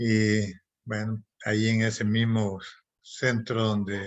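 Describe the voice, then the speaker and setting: Very slowly, a man speaks at a fairly low pitch. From Honduras, Copán Ruinas. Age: 70s. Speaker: physician. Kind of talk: presentation. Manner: halting.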